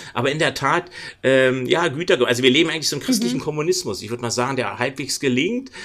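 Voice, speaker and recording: A man talks at a very fast pace. His pitch sits fairly high, with ordinary variation. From Berlin, Germany. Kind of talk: interview conversation.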